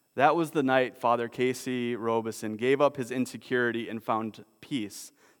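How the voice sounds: The intonation is fairly even. It comes from a natural reading voice.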